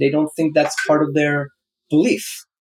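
A man with an Israeli accent and a fairly high pitch, in a dry, close recording with no echo. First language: Hebrew. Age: 40s. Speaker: founder and business angel. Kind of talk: interview.

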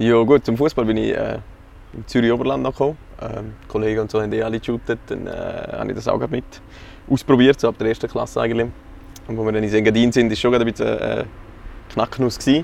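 A man with a Graubünden accent, very fast in delivery yet with long, frequent pauses. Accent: Graubünden Swiss German dialect. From Graubünden, Switzerland. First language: Swiss German (speaking German). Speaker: amateur football coach. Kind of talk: casual interview.

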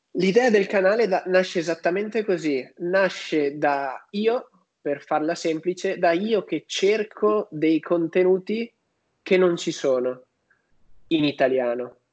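A man speaks at a very slow pace with a high pitch and ordinary pitch variation. The background is quiet. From northern Italy, Padua. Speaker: youtuber on personal finance. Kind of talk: interview.

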